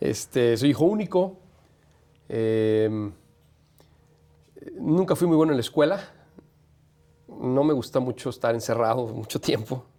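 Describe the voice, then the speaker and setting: Pausing long and often, a man talks at a fairly slow pace. His pitch sits in the medium range, with lively intonation. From Mexico, San Luis Potosí. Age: 40s. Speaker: sports journalist and radio host. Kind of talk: interview.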